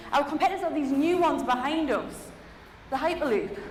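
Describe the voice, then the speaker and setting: A woman with a Geordie accent speaks at a fairly quick pace, her intonation lively and her tone animated. There is noticeable background noise and audible room echo. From Newcastle, northeast England. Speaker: keynote speaker, head of innovation. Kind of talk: keynote talk. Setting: stage with audience.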